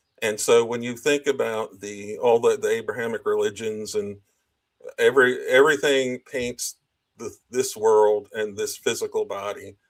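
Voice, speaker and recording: A man is speaking. His pace is fairly slow. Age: 60s. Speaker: spiritual interview guest. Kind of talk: casual interview conversation. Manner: halting, many false starts.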